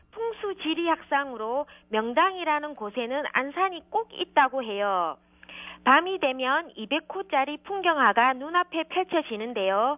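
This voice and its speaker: A woman speaks very slowly in a high voice, her pitch swinging very widely. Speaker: travel writer. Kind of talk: radio segment, scripted-style travel feature.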